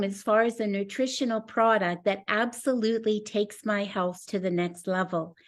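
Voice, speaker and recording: A woman speaks at a moderate pace with ordinary pitch variation. Her pitch sits fairly high. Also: very clean recording, silent background. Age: 60s. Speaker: pastor and network marketing presenter. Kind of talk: sales pitch. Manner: animated.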